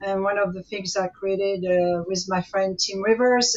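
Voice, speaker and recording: A woman at medium pitch with a strong French accent, monotone and flat in intonation, at a moderate pace over noticeable background noise. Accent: French accent, still strong. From France. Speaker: activist, mother of a guest. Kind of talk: interview.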